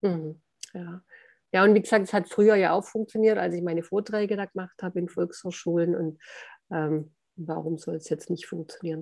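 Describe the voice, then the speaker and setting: A woman's ordinary speaking voice, fairly low in pitch, at a moderate pace with fairly even intonation and big swings in loudness. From southern Germany (Hohenlohe). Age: 60s. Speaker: author. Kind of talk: interview.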